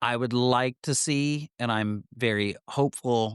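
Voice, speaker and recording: Speaking at a very slow pace with medium pitch and ordinary pitch variation, a man sounds dry and close with no echo over a quiet background. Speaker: podcast co-host. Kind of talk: casual chat. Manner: stumbling over words.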